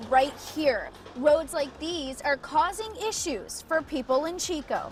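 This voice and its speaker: Noticeable background noise runs under the recording. A woman talks at a moderate pace. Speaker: television news reporter. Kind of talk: live shot and stand-up reporting to camera.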